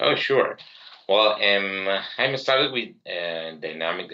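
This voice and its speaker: This man talks very slowly in a Spanish accent. His pitch is very deep and low. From Uruguay. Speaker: software entrepreneur, tech community leader. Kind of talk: interview podcast. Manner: halting, many repetitions.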